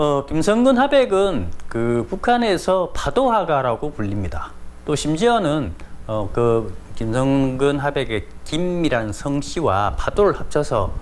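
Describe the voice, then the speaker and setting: Through audible room echo, a man speaks at a very slow pace in a fairly high pitch with very wide pitch swings. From South Korea. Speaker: painter and art commentator. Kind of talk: informal lecture. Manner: many filler words, conversational.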